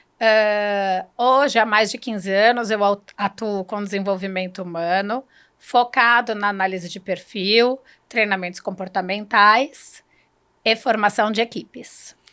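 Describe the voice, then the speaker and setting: In a very clean recording with a silent background, a woman speaks at a fairly slow pace with a bright, sharp tone and fairly even intonation. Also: medium pitch for a woman. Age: 50s. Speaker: human development consultant. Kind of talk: interview.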